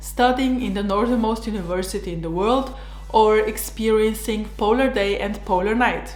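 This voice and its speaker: A woman speaks with a Slovenian accent. There is noticeable background noise along with audible room echo. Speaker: doctor and vlogger. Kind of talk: personal vlog narration.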